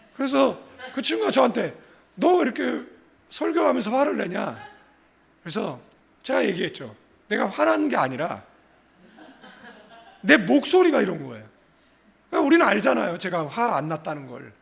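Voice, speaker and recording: A man speaks at a moderate pace with long, frequent pauses. Audible room echo surrounds his voice. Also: big swings in loudness. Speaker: pastor. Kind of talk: sermon.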